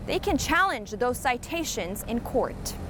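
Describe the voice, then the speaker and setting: A woman with an American accent speaks in a high voice over noticeable background noise. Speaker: bilingual TV news anchor and reporter. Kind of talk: English TV news reporting. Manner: clear, professional.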